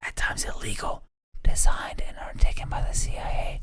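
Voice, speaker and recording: A man whispers at a moderate pace. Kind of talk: ASMR-style informational narration. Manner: whispered, ASMR-style reading.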